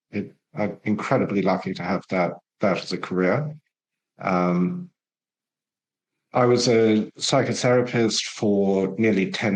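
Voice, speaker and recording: With an English accent, a man talks at a very slow pace in a fairly low pitch. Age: 60s. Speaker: war veteran and ex-psychotherapist. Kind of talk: podcast interview.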